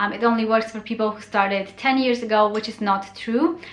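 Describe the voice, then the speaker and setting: A woman with a Romanian accent at a fairly quick pace, fairly even intonation and noticeable background noise. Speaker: blogger and YouTuber. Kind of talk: casual vlog tutorial. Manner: casual with frequent 'um' fillers.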